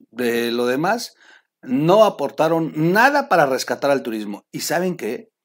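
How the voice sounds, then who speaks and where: In an animated tone, a man talks at a fairly slow pace. His pitch is fairly high, with very wide pitch swings. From Mexico, Oaxaca. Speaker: political news commentator. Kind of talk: casual news commentary video. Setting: warehouse.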